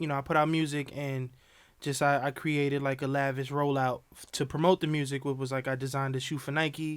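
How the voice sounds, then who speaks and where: This man has a New York accent and a fairly high pitch. He talks at a fairly quick pace in a monotone, flat intonation. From New York, the Bronx. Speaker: rapper and designer. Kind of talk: casual interview. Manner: halting, many fillers.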